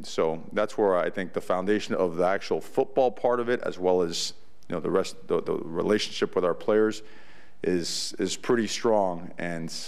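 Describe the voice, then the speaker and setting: Speaking at a moderate pace, a man's voice carries audible room echo. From US, Cuban-American family. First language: Spanish. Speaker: college football head coach. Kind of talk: press conference. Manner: animated.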